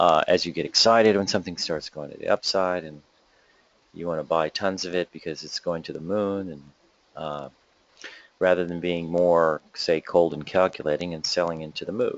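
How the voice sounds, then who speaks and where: Speaking quietly at a moderate pace, a man with a very deep, low pitch keeps his intonation fairly even while his loudness swings widely. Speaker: stock market webinar host. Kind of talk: live market commentary. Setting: home office webinar.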